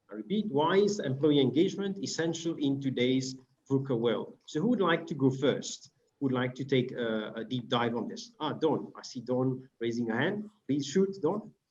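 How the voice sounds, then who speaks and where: Speaking at a moderate pace, a man with a French accent has a fairly high voice and lively intonation. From Mauritius. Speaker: panel moderator. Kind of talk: moderating online panel. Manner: hesitant fillers.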